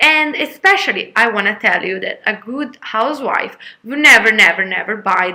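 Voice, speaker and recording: Speaking at a moderate pace with an Italian accent, a woman has a bright, sharp tone and ordinary pitch variation. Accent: Italian, non-native English. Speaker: vlogger. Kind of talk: casual vlog talk. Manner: halting, many fillers.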